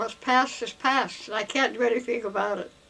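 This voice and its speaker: A woman speaks with an Inland Northwest accent. Her intonation is fairly even. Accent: American, Inland Northwest. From Idaho. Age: 80s+. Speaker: retired educator. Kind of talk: interview answer. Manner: slow, hesitant.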